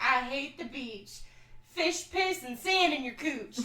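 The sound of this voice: In a put-on character voice, a female-sounding voice talks at a fairly slow pace with high pitch for a woman.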